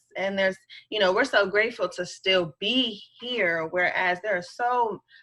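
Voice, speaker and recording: The speaker has an American accent and a bright, sharp tone. Delivery comes at a moderate pace with lively intonation. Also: woman. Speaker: teacher. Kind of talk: interview.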